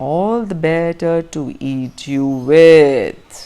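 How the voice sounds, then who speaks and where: Putting on a growling character voice, a man talks very slowly at a fairly high pitch with ordinary pitch variation. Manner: growling, menacing.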